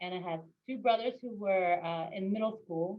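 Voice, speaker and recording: A woman with a Spanish accent talks at a medium pitch with fairly even intonation. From Argentina (Buenos Aires) until age 6, then Northern Virginia, US. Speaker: local elected official. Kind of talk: interview.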